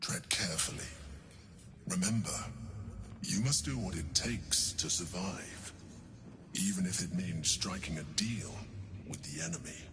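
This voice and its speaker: In a put-on character voice with a very deep, low pitch, a man speaks with long, frequent pauses over clear background noise. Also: moderate pace. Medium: video game. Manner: calm, persuasive.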